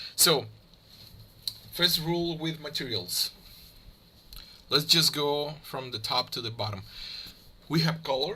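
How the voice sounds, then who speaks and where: A man with a Spanish accent at fairly high pitch, with vocal fry, a fairly slow pace and long, frequent pauses. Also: ordinary pitch variation. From Mexico. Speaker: 3D graphics tutorial creator. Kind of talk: tutorial. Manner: halting, many fillers.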